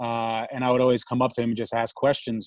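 A man with a New York accent talks at a medium pitch. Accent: New York American. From New York City. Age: 30s. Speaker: startup founder. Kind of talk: interview.

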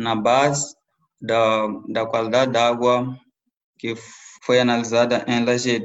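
A man speaks at a fairly slow pace and a medium pitch. His intonation is monotone and flat. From southern Mozambique, rural district. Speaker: environmental engineer. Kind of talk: interview. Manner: halting, repeats words.

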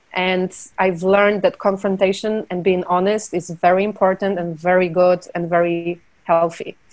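A woman with a Polish accent talks at a moderate pace. Her medium pitch stays in a monotone, flat intonation. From Poland. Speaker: film producer. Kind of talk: interview.

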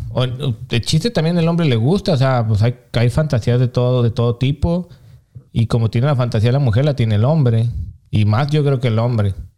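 A man speaks at a fairly quick pace with a Mexican accent, a medium pitch, and ordinary pitch variation. His dark, mellow tone is somewhat breathy, with very even loudness. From Mexico. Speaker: podcast co-host. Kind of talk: casual chat.

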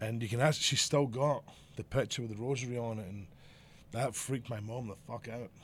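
In a Glasgow accent, a man talks fairly quickly at medium pitch, somewhat breathy, with fairly even intonation but big swings in loudness. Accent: Scottish (Glasgow). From Scotland, Glasgow area. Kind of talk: casual chat.

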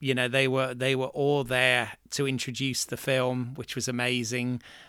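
A man with a southern English accent, medium-pitched, with a bright, sharp tone, on a very clean recording against a silent background. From southern England, Bournemouth. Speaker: writer, actor and director. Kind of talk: casual chat.

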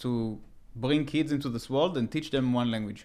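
A man with an Israeli accent at a moderate pace, with ordinary pitch variation, on a very clean recording with a silent background. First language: Hebrew. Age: 20s. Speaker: podcast guest. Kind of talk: casual chat.

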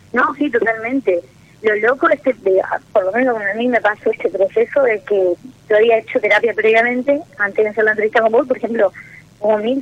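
A woman's fairly high voice at a fairly quick pace, with noticeable background noise. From Misiones, Argentina. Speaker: caller. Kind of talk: personal call-in talk. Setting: phone call.

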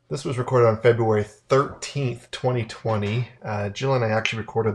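A man speaks at a medium pitch with an American accent, his voice somewhat breathy and his pitch varying in an ordinary way. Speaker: podcast co-host. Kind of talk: casual chat. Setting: hotel room. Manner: soft-spoken.

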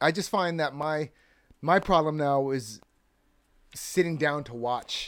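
Over a very clean, silent background, a man with an American accent speaks at a fairly high pitch with ordinary variation, at a fairly slow pace with long, frequent pauses. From California. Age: 40s. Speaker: filmmaker. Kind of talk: casual chat. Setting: studio.

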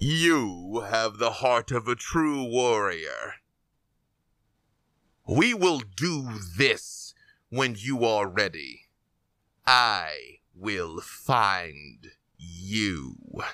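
A man uses a put-on character voice, speaking at a very slow pace with long, frequent pauses. The recording is very clean and the background silent. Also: medium pitch for a man. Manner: cold, weary, ominous.

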